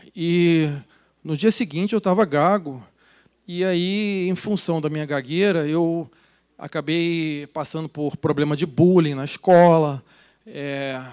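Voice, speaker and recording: The voice moves very slowly with ordinary pitch variation in a very clean recording with a silent background. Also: man, fairly high pitch for a man. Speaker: speaker at business event, author. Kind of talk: motivational talk on stage. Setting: stage with audience. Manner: improvised, hesitant.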